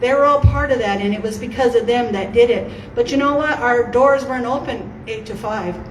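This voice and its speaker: A woman speaks loudly at a moderate pace, her pitch high. Audible room echo and noticeable background noise surround her voice. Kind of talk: campaign speech. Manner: animated.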